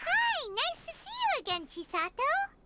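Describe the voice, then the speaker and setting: A put-on character voice, squeaky and at an extremely high pitch, carries the clip. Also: moderate pace. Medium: game stream. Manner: casual, direct.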